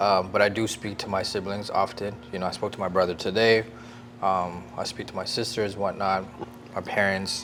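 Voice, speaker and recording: Music plays in the background as a man talks at a fairly quick pace. His fairly low voice has a monotone, flat intonation. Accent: Canadian. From Toronto, Canada (Sri Lankan Tamil immigrant family). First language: Tamil. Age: 40s. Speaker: hairstylist and barber. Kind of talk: casual interview chat.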